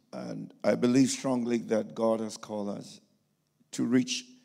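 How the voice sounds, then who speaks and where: A man at a very slow pace. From Ghana. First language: English or a Ghanaian language, German learned later (speaking German). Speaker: pastor and missionary. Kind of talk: sermon. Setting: church service.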